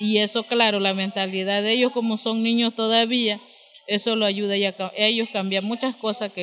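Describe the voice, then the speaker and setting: A woman's medium-pitched voice with fairly even intonation and noticeable background noise. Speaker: community leader, lodge co-founder. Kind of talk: interview.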